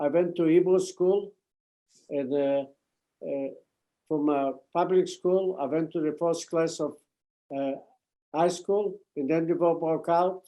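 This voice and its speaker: A man's high-pitched voice, dark and mellow in tone, moves at a fairly slow pace with fairly even intonation and long, frequent pauses. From Poland. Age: 90s. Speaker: Holocaust survivor. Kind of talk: testimony.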